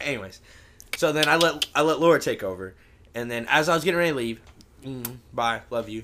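With an American accent and a bright, sharp tone, a man at medium pitch talks at a fairly quick pace with lively intonation but long, frequent pauses. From US Midwest, St. Louis area. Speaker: podcast panelist. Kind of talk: casual chat.

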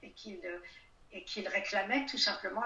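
Fairly slow, fairly high-pitched female speech, with audible room echo. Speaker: writer, historian and retired diplomat. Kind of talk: interview.

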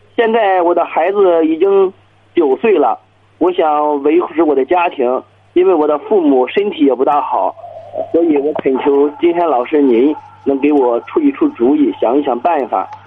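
Over noticeable background noise, a man with a high pitch talks at a moderate pace with lively intonation and very even loudness. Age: 30s. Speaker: small business owner, caller. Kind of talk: phone-in call. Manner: hesitant, filler-heavy.

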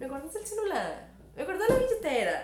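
Amid noticeable background noise and audible room echo, a woman with a Costa Rican accent talks at a fairly quick pace. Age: 30s. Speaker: podcast guest. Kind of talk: casual chat.

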